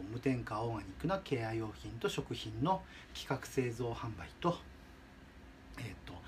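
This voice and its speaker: A man's voice with lively intonation and vocal fry. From Shizuoka, Japan. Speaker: dog product business owner. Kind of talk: advice monologue. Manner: halting.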